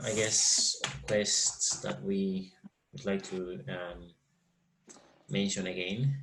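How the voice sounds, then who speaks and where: In a Spanish accent, the speaker talks at a very slow pace with long, frequent pauses and lively intonation, and audible room echo surrounds the voice. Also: man, fairly low pitch for a man. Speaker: finance trainer. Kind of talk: online training session. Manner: halting.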